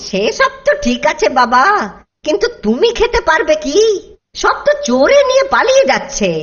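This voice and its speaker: A cartoonish character voice at a high pitch moves through very wide pitch swings at a fairly slow pace. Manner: grumbling, mutters to himself, sly.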